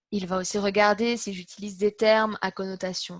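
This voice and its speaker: The somewhat breathy voice sounds dry and close with no echo, set against a quiet background. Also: woman. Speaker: interpreter giving a practice speech. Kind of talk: prepared practice speech. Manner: animated, moves hands a lot.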